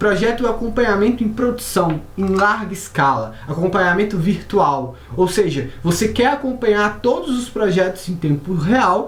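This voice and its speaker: A woman talks at a moderate pace in a Brazilian accent, and there is audible room echo. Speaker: software company presenter. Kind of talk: software tutorial. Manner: casual.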